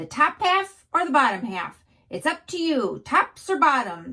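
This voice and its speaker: Putting on a character voice, a woman speaks at a high pitch and a moderate pace. Her pitch swings very widely. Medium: read story. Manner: glib, persuasive.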